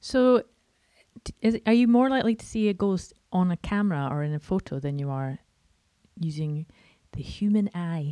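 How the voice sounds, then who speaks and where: A voice with a Scottish accent moves at a moderate pace, dark and mellow in tone, with very wide pitch swings and long, frequent pauses. The recording is very clean with a silent background, and the sound is dry and close with no echo. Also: woman, medium pitch for a woman. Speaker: podcast host. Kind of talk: casual chat.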